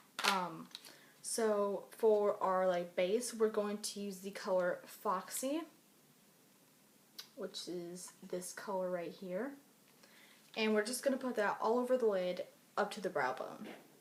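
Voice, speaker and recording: A woman at medium pitch speaks with ordinary pitch variation. She leaves long, frequent pauses. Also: fairly slow pace. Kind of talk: makeup tutorial, casual talk to camera. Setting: recorded late at night at home.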